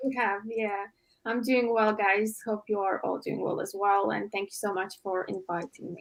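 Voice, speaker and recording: Speaking at a moderate pace with a slight non-native accent, the voice keeps a monotone, flat intonation. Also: woman, medium pitch for a woman. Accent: slight foreign. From Latvia. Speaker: sports content creator. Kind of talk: casual chat.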